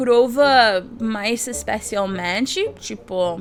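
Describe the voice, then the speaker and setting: A woman in an animated tone, with lively intonation and an English accent. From United States. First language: English (speaking Portuguese). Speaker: YouTuber. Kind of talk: casual vlog talk.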